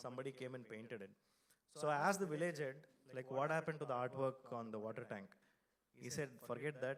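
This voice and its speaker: Delivered at a very fast pace with ordinary pitch variation, the speech carries a Kannada accent. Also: man. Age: 40s. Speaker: design studio founder and speaker. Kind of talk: keynote talk. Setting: stage with audience. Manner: loud.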